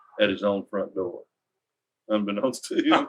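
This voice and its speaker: With a strong Texas accent, a man speaks at a moderate pace. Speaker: nonprofit founder. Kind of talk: interview answer, storytelling.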